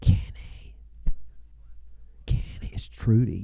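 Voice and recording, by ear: In a put-on character voice, a man sounds raspy and very deep, with a very low pitch.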